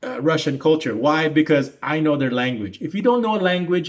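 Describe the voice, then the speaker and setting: This man moves along at a fairly quick pace, his intonation lively. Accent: Filipino. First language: Tagalog. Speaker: YouTube reaction commentator. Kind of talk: casual reaction commentary monologue. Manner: halting, many fillers and restarts.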